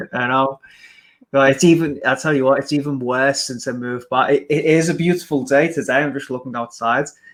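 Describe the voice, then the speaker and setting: A man with an English accent, fairly high-pitched and fairly quick, with fairly even intonation. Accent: English accent, remarked on. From England. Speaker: podcast host, marketer. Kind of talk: interview on a live stream. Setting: live video stream.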